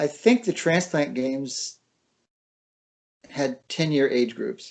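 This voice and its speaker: A man with a fairly high pitch speaks at a very slow pace, his intonation lively. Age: 70s. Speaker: liver transplant recipient and runner. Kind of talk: casual chat.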